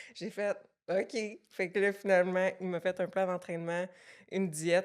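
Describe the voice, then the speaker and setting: Intonation stays monotone and flat, with a Quebec accent. The recording is very clean, with a silent background. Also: woman. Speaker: fitness coaching business owner. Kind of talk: podcast interview, personal story.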